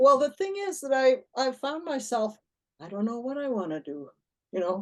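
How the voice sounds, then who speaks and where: A woman at a high pitch with very wide pitch swings, big swings in loudness, and a moderate pace. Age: 80s+. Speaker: workshop participant. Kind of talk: casual chat. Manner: halting.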